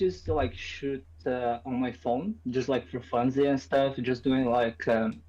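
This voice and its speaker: The speech has a Portuguese accent. It moves at a fairly slow pace. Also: hardly any pauses. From Brazil. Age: 20s. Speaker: photographer. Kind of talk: casual chat.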